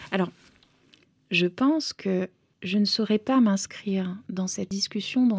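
In a Romanian accent, a woman speaks very slowly at a medium pitch, somewhat breathy, with ordinary pitch variation and a dry, close sound with no echo. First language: Romanian (speaking French). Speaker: novelist. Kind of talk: interview.

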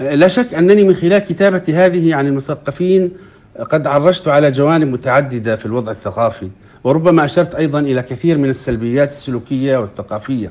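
Lively intonation runs through a man's normal speaking voice, pitched fairly high and delivered at a moderate pace. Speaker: poet, writer and journalist. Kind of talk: interview.

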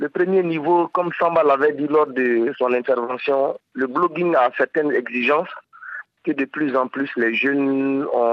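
Here is a man with a normal speaking voice, pitched fairly high. He keeps a moderate pace and ordinary pitch variation. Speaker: blogger association president. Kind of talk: interview.

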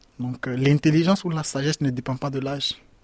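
A man speaks at a moderate pace with a fairly high pitch. The sound is dry and close, with no echo. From Ivory Coast. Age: 20s. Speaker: migrant. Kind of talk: testimony. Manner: halting.

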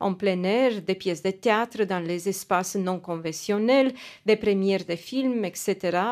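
A woman with a Romanian accent at a very slow pace, medium pitch and ordinary pitch variation, on a very clean recording with a silent background. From Romania, Timisoara. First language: Romanian (speaking French). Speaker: journalist. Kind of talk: radio news report. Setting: studio.

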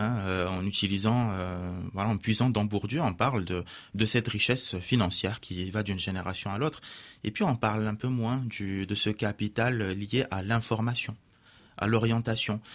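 On a very clean recording with a silent background, a man speaks at a moderate pace in a fairly low pitch with fairly even intonation. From Morocco. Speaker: teacher and author. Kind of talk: radio interview. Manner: halting, with fillers.

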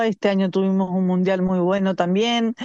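A woman speaks in a dark, mellow tone. The sound is dry and close with no echo, over a quiet background. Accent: Chilean. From Chile. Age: 30s. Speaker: Olympic swimmer. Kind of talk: interview.

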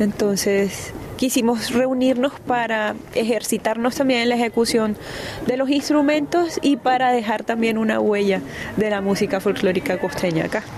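Over noticeable background noise, a woman with a fairly high pitch speaks at a moderate pace, her loudness very even and her pitch varying in an ordinary way. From Cartagena, Colombia. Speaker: singer. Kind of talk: interview.

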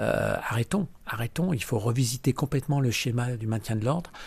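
A man speaks with vocal fry in a very clean recording over a silent background. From eastern France, near Lyon (Vienne). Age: 60s. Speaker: community activist. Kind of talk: testimony. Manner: emphatic.

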